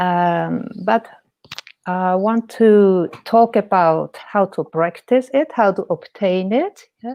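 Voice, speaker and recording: Her delivery is very slow. She has a medium-pitched woman's voice. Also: ordinary pitch variation. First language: German. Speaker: painter and life coach. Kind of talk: interview. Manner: hesitant.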